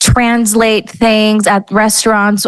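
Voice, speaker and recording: A woman's fairly high voice at a very slow pace. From Los Angeles, US, Mexican-American family. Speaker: guest, business cofounder. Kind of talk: interview. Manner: casual, many fillers.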